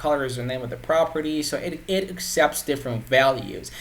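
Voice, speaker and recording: A man talks at a fairly quick pace with a fairly high pitch and ordinary pitch variation. Background noise is noticeable. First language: Persian. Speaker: web development tutor. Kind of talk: tutorial. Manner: halting, many repetitions and fillers.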